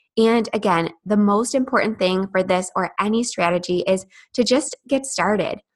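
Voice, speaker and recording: A woman of medium pitch speaks at a moderate pace with ordinary pitch variation and very even loudness, a normal speaking voice. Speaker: podcast host. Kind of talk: interview conversation.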